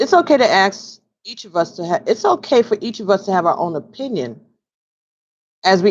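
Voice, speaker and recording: A woman talks in an ordinary speaking voice at a medium pitch, with lively intonation. Her pace is moderate, and the background is quiet. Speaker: tarot card reader. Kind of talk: tarot reading; reading aloud.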